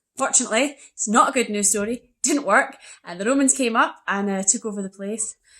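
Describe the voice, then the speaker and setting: In a Scottish accent, a woman speaks with a bright, sharp tone and a fairly high pitch. Her loudness swings widely while her pitch varies in an ordinary way. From Scotland. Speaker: young adult author. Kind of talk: book trivia presentation.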